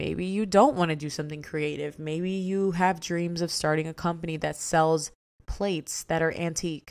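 A woman's ordinary speaking voice, fairly low-pitched, with an American accent, fairly even intonation and a moderate pace on a very clean recording with a silent background. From DMV area (Washington DC, Maryland, Virginia). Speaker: podcast host and influencer. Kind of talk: casual solo monologue.

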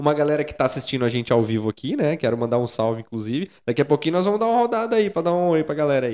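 Talking at a very fast pace, a man with a fairly high voice swings very widely in pitch. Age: 30s. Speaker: podcast host. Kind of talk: live talk show chat. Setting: studio.

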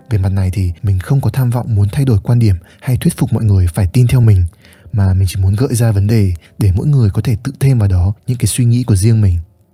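A man talks at a very fast pace in a somewhat breathy voice with a dark, mellow tone, very even loudness and ordinary pitch variation. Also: fairly low pitch for a man. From northern Vietnam, Hanoi. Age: 20s. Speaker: podcast host, content creator. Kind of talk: reflective solo podcast monologue.

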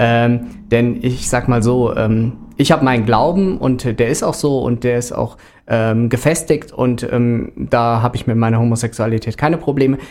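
A man speaks at a moderate pace in a medium pitch, his intonation fairly even, on a very clean recording with a silent background. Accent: Rhineland. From Rhineland, Germany. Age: 30s. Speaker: sports volunteer. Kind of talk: casual interview. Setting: radio studio.

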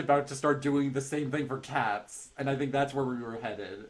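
A man with a normal speaking voice and an American accent talks at a fairly quick pace and a fairly high pitch. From US West Coast, Bay Area (Marin County). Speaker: podcast host. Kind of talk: casual chat.

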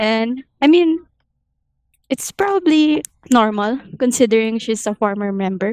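A fairly slow, fairly high-pitched woman's voice in a Filipino accent, with long, frequent pauses and a dry, close sound with no echo. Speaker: AOA fan. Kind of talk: casual chat.

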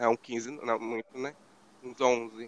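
A man's voice with fairly even intonation, in a dry, close sound with no echo. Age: 20s. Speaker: podcast co-host. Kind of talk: casual chat.

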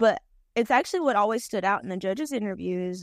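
A woman with a strong North Carolina accent talks at a medium pitch with ordinary pitch variation, in a dry, close sound with no echo. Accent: strong Southern, Robeson County dialect. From Robeson County, North Carolina. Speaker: chicken farmer and beauty queen. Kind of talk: casual chat.

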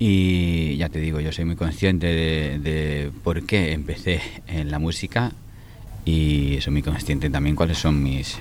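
Audible room echo carries a man's very deep, low voice and fairly even intonation. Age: 40s. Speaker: singer-songwriter. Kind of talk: interview. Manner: halting, many repetitions and fillers.

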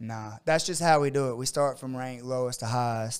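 Recorded very cleanly against a silent background, a man speaks at a medium pitch with fairly even intonation and a plain, everyday voice. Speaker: martial arts coach and gym owner. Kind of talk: casual podcast chat. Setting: studio.

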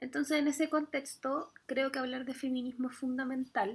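A woman speaks with a Chilean accent. Her pitch is high and her pace moderate. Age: 30s. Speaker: podcast host and Spanish teacher. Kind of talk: solo monologue podcast. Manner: casual, with laughs. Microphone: poor audio quality.

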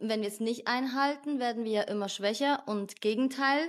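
A woman's fairly high-pitched, normal speaking voice with ordinary pitch variation, on a very clean recording with a silent background. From Switzerland. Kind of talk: casual chat.

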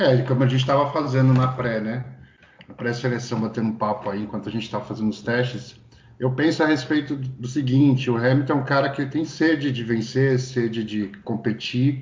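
Speaking in a Brazilian accent, a man at medium pitch keeps a fairly even intonation and a fairly quick pace. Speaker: podcast co-host. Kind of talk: casual chat.

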